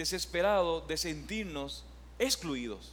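There is audible echo in the room as a man talks. Noticeable background noise is also present. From Paraguay. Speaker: pastor. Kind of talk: sermon.

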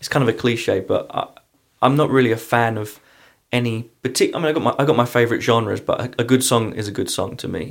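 Speaking with an American accent, a man keeps a fairly quick pace. His voice sits at a medium pitch. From London, England. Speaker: guitarist and singer. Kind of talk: casual interview chat. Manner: hesitant, many fillers.

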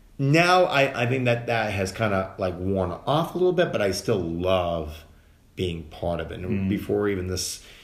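At a moderate pace, a man with an American accent speaks at a fairly low pitch, with audible room echo. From Massachusetts (Dedham, Boston area). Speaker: actor. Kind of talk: casual chat.

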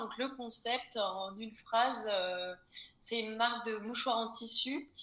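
A woman with a high pitch and ordinary pitch variation speaks at a very slow pace over noticeable background noise. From Brittany, France. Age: 20s. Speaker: small business founder. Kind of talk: casual interview. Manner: hesitant, many fillers.

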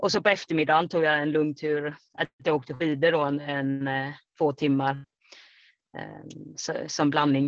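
A woman at a fairly slow pace with monotone, flat intonation and a very deep, low pitch. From Sweden, Kalmar. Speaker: trail runner. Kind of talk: interview. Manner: hesitant, many fillers.

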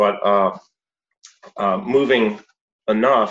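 A plain, everyday voice with lively intonation. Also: man. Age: 50s. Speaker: movement coach and show host. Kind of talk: interview. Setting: video call.

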